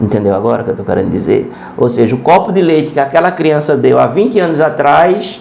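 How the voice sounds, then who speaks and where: A man with a fairly high pitch talks at a very fast pace, with very wide pitch swings and very even loudness. Audible room echo and noticeable background noise are present. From Brazil, Pernambuco (Serra Talhada). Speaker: preacher. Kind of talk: sermon. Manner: halting.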